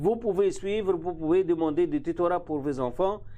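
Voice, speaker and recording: A man's high voice with a dark, mellow tone and an Arabic accent, moderate in pace, with ordinary pitch variation. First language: Arabic (speaking French). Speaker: university vice-dean. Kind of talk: interview. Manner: halting.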